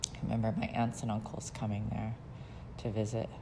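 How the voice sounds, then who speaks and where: A woman with an American accent speaks at a very deep, low pitch and a moderate pace, in a monotone, flat intonation. Audible room echo surrounds her voice. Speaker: memoir narrator. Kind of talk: personal life story. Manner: hesitant, with fillers.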